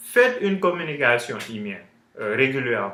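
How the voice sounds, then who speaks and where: A man speaks with an English accent. His pitch is fairly high for a man. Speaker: online business coach. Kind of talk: tutorial. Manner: halting, many fillers.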